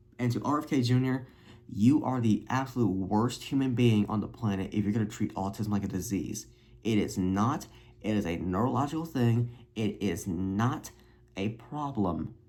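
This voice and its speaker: A man with a dark, mellow tone and fairly low pitch speaks at a moderate pace with ordinary pitch variation. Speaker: youtuber. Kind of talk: vlog monologue. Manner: halting.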